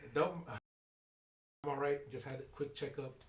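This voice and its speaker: A man speaks at a fairly slow pace. His voice is fairly high and somewhat breathy. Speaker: podcast host. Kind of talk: casual talk to camera.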